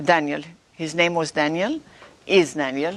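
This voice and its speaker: A woman talks with a non-native accent. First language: not English. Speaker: author and visionary. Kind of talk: interview testimony. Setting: TV studio.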